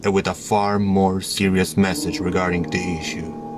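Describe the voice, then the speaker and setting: Music plays in the background as a man speaks. His pitch is very deep and low, and his pace moderate. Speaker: story narrator. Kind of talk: horror story reading. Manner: natural speaking voice.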